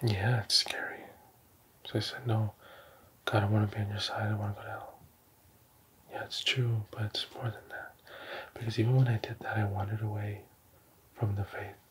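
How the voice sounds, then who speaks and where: A soft-spoken man whispering at a fairly quick pace, with long, frequent pauses and noticeable background noise. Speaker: ASMR creator. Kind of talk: ASMR roleplay. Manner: whispered, soft-spoken. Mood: earnest, calm, religious. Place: home room. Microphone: studio mic.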